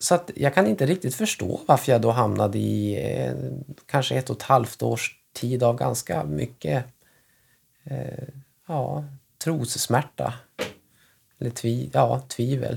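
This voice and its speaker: Very slow delivery with long, frequent pauses. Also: man. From northern Sweden, Västernorrland. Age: 30s. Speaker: family doctor. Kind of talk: casual chat. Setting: at home.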